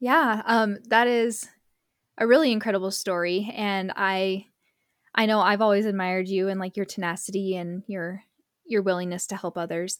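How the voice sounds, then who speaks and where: A woman talks in a normal speaking voice at medium pitch. She keeps a moderate pace. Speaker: podcast host and nonprofit founder. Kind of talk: interview conversation.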